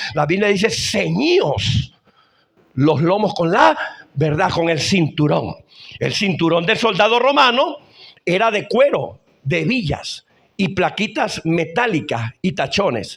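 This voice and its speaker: Speaking very slowly, a man uses a high pitch that swings very widely. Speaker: apostle preacher. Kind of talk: sermon. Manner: emphatic, repetitive.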